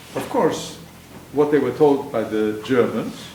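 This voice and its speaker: A man speaks at a moderate pace with lively intonation. Audible room echo and noticeable background noise are present. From Poland. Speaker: Holocaust survivor. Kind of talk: testimony. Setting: stage with audience. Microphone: speaking without a microphone.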